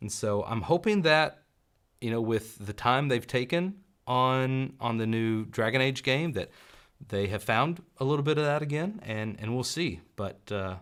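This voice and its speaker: With a slight Southern US accent, a man speaks fairly slowly at a medium pitch and with lively intonation on a very clean recording with a silent background. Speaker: gaming youtuber. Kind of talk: live stream chat.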